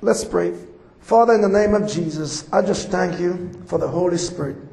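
A man with a Jamaican accent at a fairly quick pace, ordinary pitch variation, and noticeable background noise. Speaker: visiting preacher. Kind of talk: sermon. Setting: church with audience.

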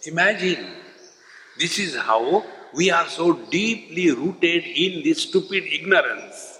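Over noticeable background noise, a man with an Indian accent talks at a very slow pace. His high voice has ordinary pitch variation. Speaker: spiritual teacher. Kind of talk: spiritual lecture. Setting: stage with audience.

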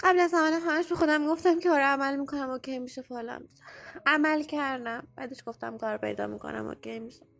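A woman with a high pitch speaks at a very fast pace, her loudness swinging widely while her pitch varies in an ordinary way. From Iran. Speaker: listener sending a voice message. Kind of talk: recorded voice message, personal testimony.

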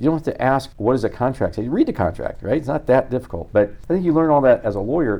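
This man talks at a very fast pace in a medium pitch, his dark, mellow tone carrying vocal fry and lively intonation. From central Illinois. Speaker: venture capitalist. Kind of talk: interview.

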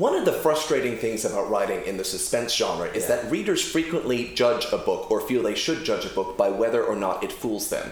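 A man talks at a fairly quick pace with hardly any pauses over noticeable background noise. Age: 30s. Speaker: novelist, former publisher. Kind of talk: bookshop author interview. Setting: bookshop event with small audience.

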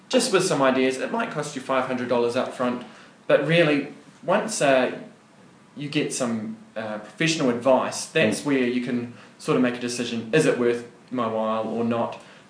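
A man with a New Zealand accent at a moderate pace, with ordinary pitch variation, audible room echo and noticeable background noise. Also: medium pitch for a man. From New Zealand, Wellington. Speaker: accountant. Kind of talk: casual interview.

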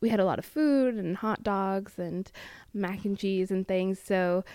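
A woman speaks at a fairly slow pace with a West Coast US accent, her pitch medium and its variation ordinary. The tone is dark and mellow, and the recording is very clean, dry and close, with no echo and a silent background. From US Pacific Northwest. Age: 20s. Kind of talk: first-person audio testimony.

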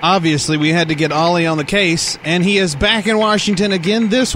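A high-pitched man's voice with ordinary pitch variation amid noticeable background noise. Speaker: comedy podcast host. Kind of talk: casual chat.

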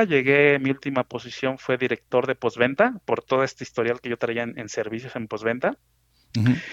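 In a quiet background with a dry, close sound and no echo, a man with an unremarkable speaking voice talks at a medium pitch and a moderate pace. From Mexico City. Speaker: truck company executive. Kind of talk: interview. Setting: phone call.

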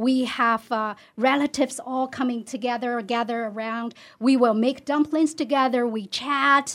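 The recording is very clean, with a silent background. A woman speaks in a high voice with a Chinese accent. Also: moderate pace. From China. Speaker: community member. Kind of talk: casual chat.

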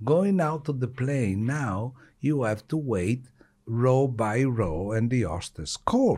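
Speaking very slowly with an Italian accent, a man uses lively intonation in a dark, mellow, medium-pitched voice. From Italy. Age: 60s. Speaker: retired surgeon. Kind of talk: interview.

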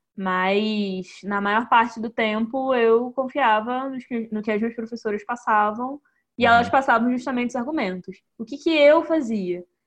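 A woman with a normal speaking voice, fairly high pitch, ordinary pitch variation, a fairly slow pace with hardly any pauses, and a quiet background. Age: 20s. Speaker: successful candidate for the diplomatic service exam. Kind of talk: interview in a live online talk.

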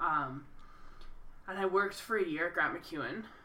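A woman's very deep, low voice with very wide pitch swings, over noticeable background noise. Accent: Albertan. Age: 30s. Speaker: podcast co-host, teacher. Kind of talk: casual chat.

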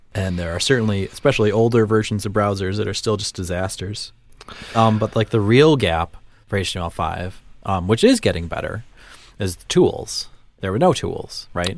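Moderate pace, ordinary pitch variation and big swings in loudness in a Midwestern US accent, on a very clean recording with a silent background. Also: man, fairly low pitch for a man. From US Midwest. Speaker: podcast host. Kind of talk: casual chat. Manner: jokey, bantering.

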